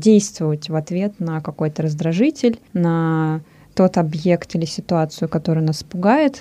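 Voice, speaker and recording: A woman's fairly low voice with a dark, mellow tone at a moderate pace. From Russia. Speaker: radio host. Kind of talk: casual chat. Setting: studio.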